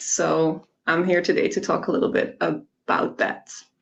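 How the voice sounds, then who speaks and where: Speaking with a Dutch accent, a woman talks at a fairly slow pace. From Netherlands. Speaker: software engineer. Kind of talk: tech demo presentation.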